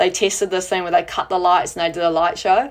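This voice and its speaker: Here a woman speaks with a New Zealand accent. Her pitch is fairly low. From New Zealand, Auckland. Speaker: sports photographer and pole vaulter. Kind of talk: casual chat.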